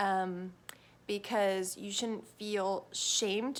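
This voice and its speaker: This is a woman speaking. The recording is very clean, with a silent background. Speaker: wellbeing vlogger. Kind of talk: casual vlog talk. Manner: animated.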